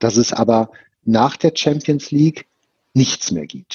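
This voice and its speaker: The man speaks with ordinary pitch variation. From Ruhr area, Germany (Bochum). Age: 50s. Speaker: esports foundation director. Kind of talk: interview. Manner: hesitant with many fillers.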